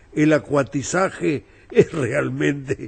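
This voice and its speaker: This man's voice sits fairly high in pitch. Vocal fry runs through it. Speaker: novelist. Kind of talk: interview.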